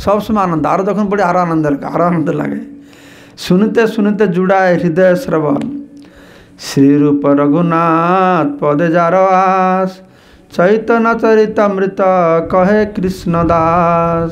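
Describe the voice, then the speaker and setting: Pitched high with ordinary variation, a man's voice comes through with audible room echo. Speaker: monk giving scripture lectures. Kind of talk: religious scripture lecture.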